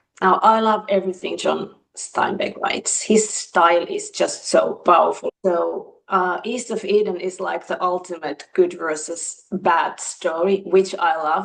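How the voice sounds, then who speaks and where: A woman with a Finnish accent speaks at a fairly slow pace and medium pitch, with fairly even intonation and hardly any pauses. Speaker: book reviewer. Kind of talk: casual chat.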